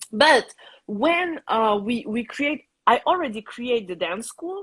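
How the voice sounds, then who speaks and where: A woman with a French accent speaks with very wide pitch swings. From Tahiti, French Polynesia. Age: 30s. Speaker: Tahitian dance teacher and cultural center founder. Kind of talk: live interview. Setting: live video stream.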